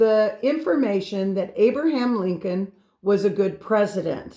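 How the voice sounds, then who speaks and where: At a fairly slow speed, a woman talks in an ordinary speaking voice, pitched fairly high with ordinary variation. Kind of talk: interview host.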